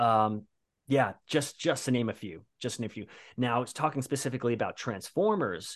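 An ordinary speaking voice from a man with an American accent, medium pitch and lively intonation, at a fairly quick pace over a quiet background. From New Jersey, US. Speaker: voice actor. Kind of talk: casual interview chat.

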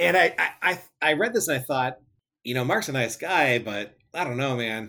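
Speaking in a normal speaking voice, a man of medium pitch keeps a moderate pace with lively intonation. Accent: American. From Michigan. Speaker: podcast listener, reader. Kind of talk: reading aloud; casual interview.

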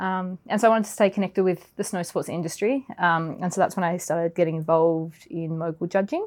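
A woman speaks at a fairly quick pace with an Australian accent and a medium pitch. Her pitch varies in an ordinary way, and the recording is very clean with a silent background. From Australia, Melbourne area. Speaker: forensic accountant. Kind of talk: interview.

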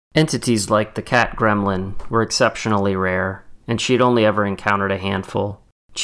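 Someone reads text out loud, using a natural voice.

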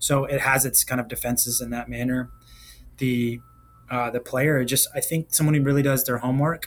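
Somewhat breathy and flat in intonation, a man speaks at a medium pitch in a monotone. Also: moderate pace. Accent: American. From Virginia. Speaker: golf championship director. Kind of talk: podcast interview.

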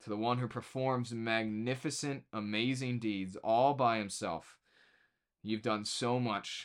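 The man's voice sits at a medium pitch with fairly even intonation. He talks at a fairly slow pace. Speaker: pastor. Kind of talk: fervent prayer spoken aloud, improvised from a psalm. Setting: online video. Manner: earnest, impassioned, addressing God directly; rhythmic, emphatic repetition.

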